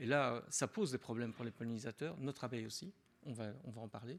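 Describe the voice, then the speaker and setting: Speaking with a Belgian accent, a man moves at a fairly quick pace with ordinary pitch variation. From Belgium (Wallonia). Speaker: agronomist and beekeeping expert. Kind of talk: conference talk. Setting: lecture hall with audience. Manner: casual, with frequent hesitations and restarts.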